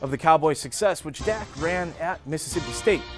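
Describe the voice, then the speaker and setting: Music plays in the background as a man talks at a fairly quick pace. His pitch is fairly high, with ordinary variation. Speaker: sports anchor and reporter. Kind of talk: sports news anchor read.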